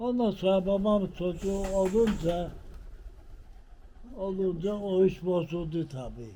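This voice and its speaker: This man's voice is high in pitch and dark and mellow in tone, with ordinary pitch variation. He talks very slowly, leaving long, frequent pauses. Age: 80s+. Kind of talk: life story told in interview.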